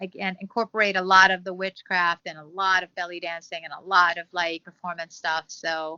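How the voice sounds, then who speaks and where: With hardly any pauses, a woman talks at a fairly quick pace in a monotone, flat intonation, her loudness swinging widely. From Caribbean. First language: non-English. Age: 40s. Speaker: fire performer and photographer. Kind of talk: casual chat. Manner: hesitant, many fillers.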